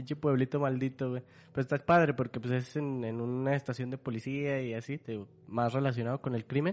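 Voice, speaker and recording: Over a quiet background, a man with a Mexican accent talks fairly quickly at a medium pitch with fairly even intonation. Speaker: podcast host. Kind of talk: casual chat.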